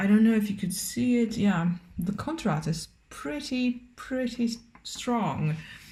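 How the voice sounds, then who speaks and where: This woman's voice is somewhat breathy. Her pitch sits fairly high. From Romania. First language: Romanian. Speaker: cooking vlogger. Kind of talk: cooking tutorial with casual chat. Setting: home kitchen. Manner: casual, hesitant with many fillers.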